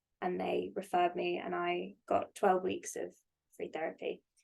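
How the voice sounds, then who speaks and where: At a fairly slow pace, the speaker talks with a British accent. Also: woman. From UK. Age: 20s. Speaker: podcast guest, therapist. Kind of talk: casual chat.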